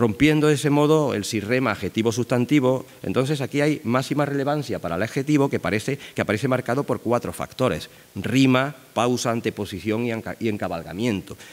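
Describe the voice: At a fairly quick pace with few pauses, a man speaks at medium pitch with ordinary pitch variation.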